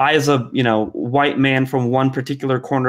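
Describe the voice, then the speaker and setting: Here a man is speaking. His intonation is monotone and flat. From North Macedonia. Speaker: open-source software maintainer. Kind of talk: panel discussion. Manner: halting, many fillers and repeats.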